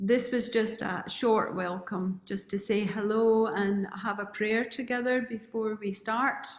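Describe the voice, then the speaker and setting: A woman's fairly high voice at a very slow pace, its intonation fairly even. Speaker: retreat organizer. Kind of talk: welcome address.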